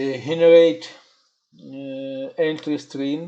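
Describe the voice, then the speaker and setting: The speaker has a non-native accent and a very slow pace. The background is quiet. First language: not English. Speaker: software developer. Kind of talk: tutorial. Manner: halting, many filler sounds.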